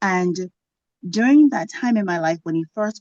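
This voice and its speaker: This woman's dark, mellow tone moves through very wide pitch swings, recorded with a dry, close sound and no echo. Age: 40s. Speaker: toastmasters member. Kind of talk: impromptu speech.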